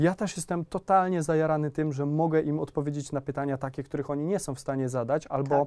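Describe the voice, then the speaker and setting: The man has a dark, mellow tone and talks at a very fast pace with hardly any pauses. His intonation is fairly even, and the recording is very clean with a silent background. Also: fairly high pitch for a man. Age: 30s. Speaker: youtuber and entrepreneur. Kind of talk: casual chat.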